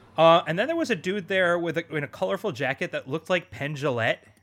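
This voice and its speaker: Using an ordinary speaking voice, a man talks with ordinary pitch variation. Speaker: podcast host. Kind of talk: casual chat.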